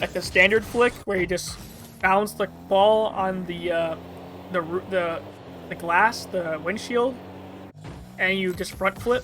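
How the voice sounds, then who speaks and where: The speaker goes at a fairly slow pace, with long, frequent pauses. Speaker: gaming youtuber. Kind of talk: tutorial. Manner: halting, many filler words; casual.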